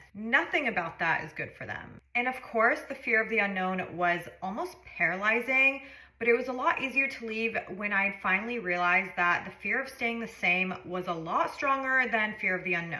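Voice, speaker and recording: Lively intonation from a woman, fairly high in pitch and at a moderate pace, with audible room echo. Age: 30s. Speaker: lifestyle vlogger. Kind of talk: storytime monologue.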